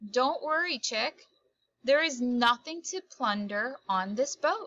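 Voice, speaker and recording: A put-on character voice, female-sounding and high-pitched for a woman, at a fairly slow pace. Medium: read story. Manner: calm, matter-of-fact.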